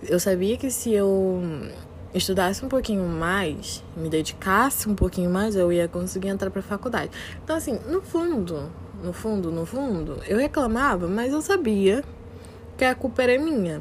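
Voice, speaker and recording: Lively intonation from a woman at a medium pitch, with noticeable background noise behind her. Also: moderate pace. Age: 20s. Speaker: podcaster. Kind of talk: motivational monologue.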